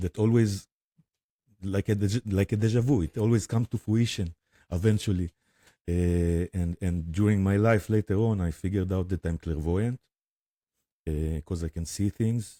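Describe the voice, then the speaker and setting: In a very clean recording with a silent background and a dry, close sound with no echo, a man with an Israeli accent talks at a moderate pace with a very deep, low pitch, a dark, mellow tone and ordinary pitch variation. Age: 40s. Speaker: spiritual guide and drummer. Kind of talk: interview testimony. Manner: halting, many fillers.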